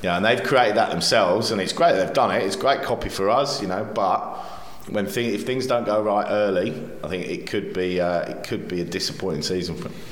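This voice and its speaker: Amid noticeable background noise, a man with a fairly low pitch speaks at a very fast pace with ordinary pitch variation. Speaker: football magazine publisher and pundit. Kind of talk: casual panel chat, football analysis. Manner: thoughtful, hesitant with fillers.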